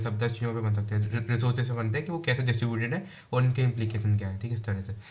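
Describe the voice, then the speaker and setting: A man talks at a very fast pace, his pitch medium and his voice somewhat breathy. Audible room echo surrounds the recording. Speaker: UPSC exam answer-writing teacher. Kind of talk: tutorial. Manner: casual, many fillers.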